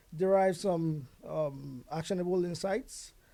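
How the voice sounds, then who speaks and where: A man speaks in a dark, mellow tone. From Nigeria (Yoruba). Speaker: IT consulting founder. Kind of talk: podcast interview. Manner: hesitant, many fillers.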